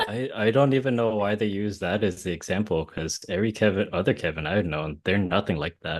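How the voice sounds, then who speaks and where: A man with a Californian accent, fairly low in pitch, at a fairly quick pace with ordinary pitch variation and hardly any pauses. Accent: Californian American English. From US West Coast, Orange County, California. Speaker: interviewee, Vietnamese American. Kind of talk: casual interview.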